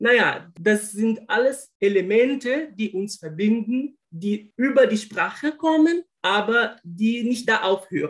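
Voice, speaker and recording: A man's high-pitched voice at a very slow pace, with lively intonation and hardly any pauses. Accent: Brazilian. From Brazil, Rio de Janeiro. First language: Portuguese (speaking German). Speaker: linguist and former German teacher. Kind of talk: interview. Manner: halting, many repetitions and fillers.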